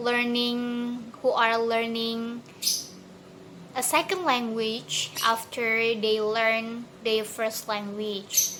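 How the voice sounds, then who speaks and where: A woman's fairly high voice at a very slow pace, fairly even in intonation, with audible room echo. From Indonesia, Bandar Lampung. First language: Indonesian. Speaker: university student. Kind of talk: recorded exam answer. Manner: halting, many fillers and restarts.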